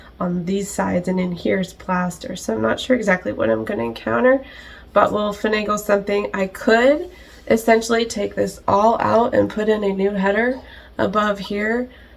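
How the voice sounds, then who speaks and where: At a moderate pace, a woman of medium pitch speaks with ordinary pitch variation over noticeable background noise. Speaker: DIY home renovation vlogger. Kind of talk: casual vlog narration. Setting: outdoors. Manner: casual, with many fillers.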